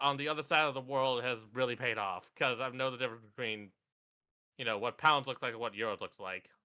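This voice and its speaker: With an American accent, a man talks at a fairly quick pace in a bright, sharp tone. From US West Coast. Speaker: co-host of a live stream. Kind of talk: casual stream chat.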